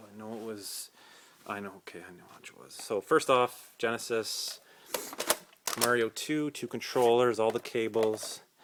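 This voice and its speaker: A man speaks at a moderate pace in a medium pitch over noticeable background noise. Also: fairly even intonation. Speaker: retro game collector. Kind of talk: casual talk to camera. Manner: hesitant, many filler words.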